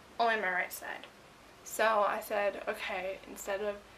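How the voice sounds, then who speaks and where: A woman is talking over noticeable background noise. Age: 20s. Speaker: beauty vlogger. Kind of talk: casual vlog. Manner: animated.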